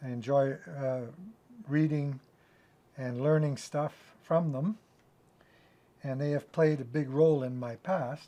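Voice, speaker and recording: A man with a fairly high pitch speaks in a dark, mellow tone with fairly even intonation. His pace is fairly slow, broken by long, frequent pauses. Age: 70s. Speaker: bushcraft instructor. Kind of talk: video talk about books.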